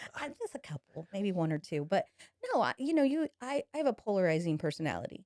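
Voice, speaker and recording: Loud and very fast, a woman speaks at a medium pitch with very wide pitch swings. The sound is dry and close, with no echo. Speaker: salon owner. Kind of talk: casual chat.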